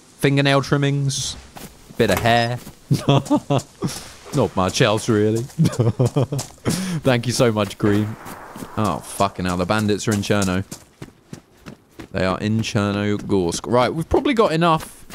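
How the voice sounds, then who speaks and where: Noticeable background noise sits behind a man with a medium pitch and ordinary pitch variation. He talks at a fairly slow pace with long, frequent pauses. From southern England. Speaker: gaming streamer. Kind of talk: live gameplay stream chat. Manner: animated.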